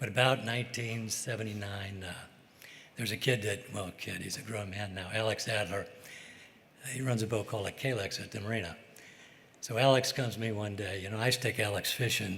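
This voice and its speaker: Amid audible room echo and noticeable background noise, a man with an American accent speaks at a fairly low pitch and a fairly quick pace, with long, frequent pauses. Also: fairly even intonation. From US Midwest, St. Louis. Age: 80s+. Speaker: fishing boat captain, hall of fame inductee. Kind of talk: acceptance speech. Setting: stage with audience. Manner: halting, unscripted.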